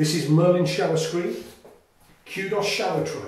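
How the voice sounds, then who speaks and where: A man speaks at a high pitch amid audible room echo. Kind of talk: product walkthrough tour. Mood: proud, enthusiastic. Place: bathroom. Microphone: camera far.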